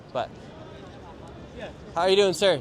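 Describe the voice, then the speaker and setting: A man rattles off his words very quickly while clear background noise runs underneath. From Utah. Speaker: livestreamer and street interviewer. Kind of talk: street interview. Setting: outdoors.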